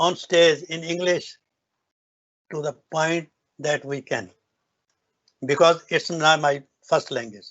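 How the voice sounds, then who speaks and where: A man with a North Indian accent speaks at a fairly slow pace with long, frequent pauses. His pitch is fairly high, with ordinary variation. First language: Hindi or Punjabi. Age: 70s. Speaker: business owner giving a success talk. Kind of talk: motivational speech. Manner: halting, with restarts.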